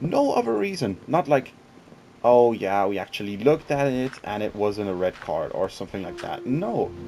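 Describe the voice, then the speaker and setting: A man speaks at a moderate pace in a medium pitch with lively intonation. Noticeable background noise runs behind him. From Switzerland. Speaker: gaming YouTuber. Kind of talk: casual gaming commentary. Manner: hesitant, many fillers.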